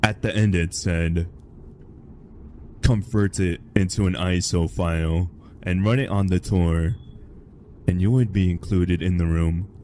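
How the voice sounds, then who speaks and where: Very deep and low, this man's voice moves at a fairly slow pace with fairly even intonation. Long pauses come often. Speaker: horror story narrator. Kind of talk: horror story reading. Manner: stutters a little, some misspoken words.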